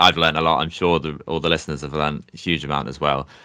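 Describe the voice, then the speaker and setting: A man speaks at a very fast pace with a very deep, low pitch. His voice has vocal fry. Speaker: podcast host and product marketing specialist. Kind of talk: casual interview chat.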